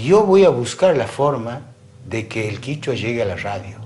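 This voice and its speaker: A man speaks at a fairly slow pace with very wide pitch swings, and audible room echo surrounds his voice. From Argentina, Santiago del Estero (Salavina). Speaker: radio host. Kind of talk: interview.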